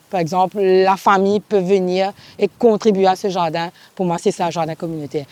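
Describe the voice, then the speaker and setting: The woman's medium-pitched voice moves at a moderate pace, with a dry, close sound and no echo. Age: 40s. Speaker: farm cooperative leader. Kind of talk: interview testimony. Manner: halting.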